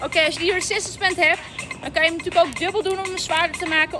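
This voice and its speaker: Over clear music in the background, a woman speaks in a raised, projected voice. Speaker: fitness coach. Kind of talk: live workout coaching in Dutch. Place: street.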